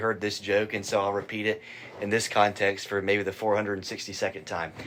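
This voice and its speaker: Here a man speaks with a Southern US accent. His pitch is fairly low and his pace fairly quick. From Asheville, North Carolina. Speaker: student organization president. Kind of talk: interview.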